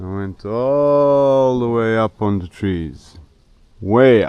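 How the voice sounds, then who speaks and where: Very slowly, a man talks in a dark, mellow tone with ordinary pitch variation. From Croatia. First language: Croatian. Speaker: vlogger. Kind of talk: casual vlog narration.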